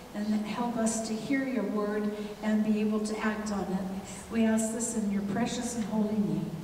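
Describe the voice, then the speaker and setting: Over noticeable background noise and audible room echo, a woman speaks at a moderate pace in a fairly high voice with monotone, flat intonation. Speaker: church minister. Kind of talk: prayer. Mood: reverent, earnest. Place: church.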